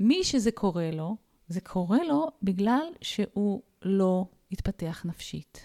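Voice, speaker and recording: At a very slow pace, a woman with a medium pitch and a dark, mellow tone uses lively intonation, the sound dry and close with no echo. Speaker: spiritual psychologist. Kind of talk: casual chat.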